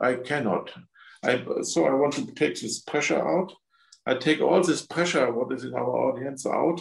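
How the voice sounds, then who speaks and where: With a German accent, a man talks at a moderate pace in a fairly high pitch with ordinary pitch variation and some vocal fry. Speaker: spiritual healer. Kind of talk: guided energy healing session. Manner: halting.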